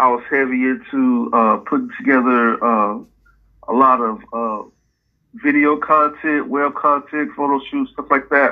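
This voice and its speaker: A man speaks with an American accent at a fairly slow pace, his pitch fairly high with ordinary variation. He has an ordinary speaking voice. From Dallas, Texas. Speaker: rapper and musician. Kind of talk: casual interview.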